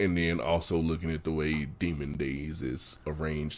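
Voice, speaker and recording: A man speaks in a West Virginia accent. His pitch is very deep and low, with vocal fry. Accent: West Virginia, trouble with L sounds. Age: 30s. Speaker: novelist. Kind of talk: casual interview.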